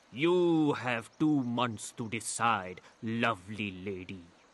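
A man's put-on character voice, menacing in tone, at medium pitch and a very slow pace. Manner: arrogant, commanding, menacing.

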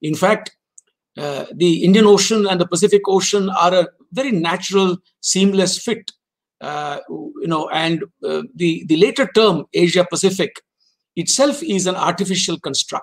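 A man whose voice sits high for a man speaks at a medium speed, his pitch varying normally, with a hushed backdrop. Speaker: former diplomat lecturer. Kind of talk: lecture. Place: office. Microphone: webcam.

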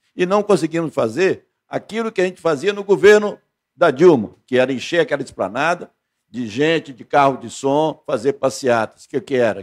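A man's voice shows very wide pitch swings and big swings in loudness. The background is quiet. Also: moderate pace. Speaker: labor auditor union representative. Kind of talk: meeting speech. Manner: frustrated, complaining. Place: meeting room. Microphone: handheld.

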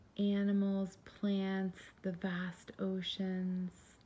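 A woman speaks at a very slow pace in a calm tone, her medium pitch somewhat breathy. Her tone is dark and mellow. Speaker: meditation guide. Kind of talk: guided meditation. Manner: calm, slow.

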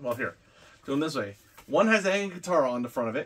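The pace is fairly quick. The speaker is a man. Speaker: unboxing vlogger. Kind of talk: casual unboxing vlog chat. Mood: enthusiastic, relaxed. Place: home room. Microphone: camera far.

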